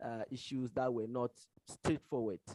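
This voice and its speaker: A man's dark, mellow voice at medium pitch, with a non-native accent, fairly even intonation and a dry, close sound with no echo. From Ghana. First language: not English. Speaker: paper discussant. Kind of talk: conference paper review. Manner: halting, many fillers.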